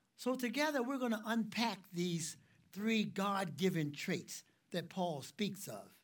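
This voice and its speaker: A man's high-pitched voice with lively intonation at a very slow pace, with audible room echo. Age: 60s. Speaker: ministry director and preacher. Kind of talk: sermon.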